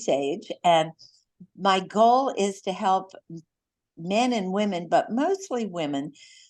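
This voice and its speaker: A woman at a very slow pace and medium pitch, with lively intonation, big swings in loudness and a quiet background. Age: 80s+. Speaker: wellness coach and author. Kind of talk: casual chat.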